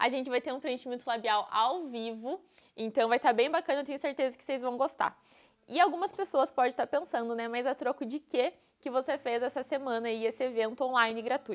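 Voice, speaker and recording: A woman talks at a fairly quick pace, her high voice showing ordinary pitch variation. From interior of Paraná, Brazil (Dois Vizinhos). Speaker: dentist and course instructor. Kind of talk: live stream presentation. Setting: live online stream. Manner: animated.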